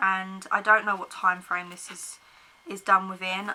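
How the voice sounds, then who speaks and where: A woman with an English accent speaks at a moderate pace in a medium pitch. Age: 20s. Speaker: book vlogger. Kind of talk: casual chat.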